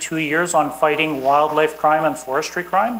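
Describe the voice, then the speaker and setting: A woman's very deep, low voice in a Canadian accent at a fairly quick pace, with noticeable background noise. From Canada. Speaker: environmental law enforcement expert. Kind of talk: conference talk.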